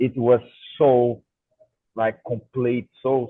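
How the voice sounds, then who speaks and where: Speaking at a very slow pace, a man with a Brazilian Portuguese accent holds a medium pitch. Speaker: co-host, agronomist and musician. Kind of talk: casual interview chat. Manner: halting, many false starts; too quiet.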